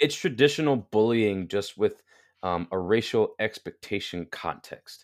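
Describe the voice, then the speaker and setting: A man with an American accent and a fairly low pitch talks at a fairly slow pace with lively intonation in an ordinary speaking voice, on a very clean recording with a silent background and a dry, close sound with no echo. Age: 20s. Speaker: online health coach. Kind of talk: interview conversation.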